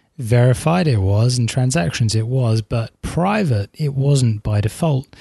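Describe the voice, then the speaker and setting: In a quiet, dry, close recording with no echo, a man with a dark, mellow, somewhat breathy voice of medium pitch speaks at a fairly slow pace with very wide pitch swings. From England. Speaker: tech podcast co-host. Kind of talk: casual chat. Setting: remote call.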